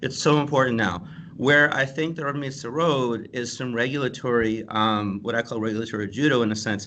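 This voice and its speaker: A man's medium-pitched voice with a bright, sharp tone, ordinary pitch variation and a fairly quick pace. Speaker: security executive and consultant. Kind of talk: panel discussion. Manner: halting.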